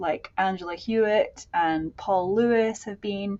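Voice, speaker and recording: A woman's medium-pitched voice with a Scottish accent, a fairly slow pace and fairly even intonation. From Scotland. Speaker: music scholar, center director. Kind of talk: interview chat. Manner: many fillers, hesitant starts.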